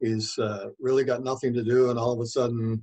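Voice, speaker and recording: With a Canadian accent, a man speaks at medium pitch in monotone, flat intonation. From Manitoba, Canada (Rapid City). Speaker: author. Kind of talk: interview. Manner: hesitant, many fillers.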